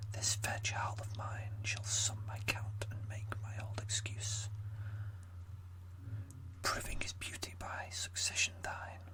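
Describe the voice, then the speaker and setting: Whispering very slowly with long, frequent pauses, a man speaks over noticeable background noise. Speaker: amateur ASMR creator. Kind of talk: poetry reading. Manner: whispered, slow.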